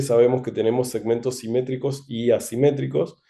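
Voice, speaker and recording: The man's tone is dark and mellow. His pitch falls in the medium range. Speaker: ophthalmic surgeon. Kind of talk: medical lecture. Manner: slow.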